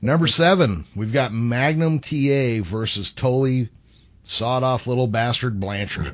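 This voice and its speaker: An ordinary speaking voice from a man, medium in pitch, fairly slow, with ordinary pitch variation. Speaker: podcast co-host. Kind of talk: casual podcast chat.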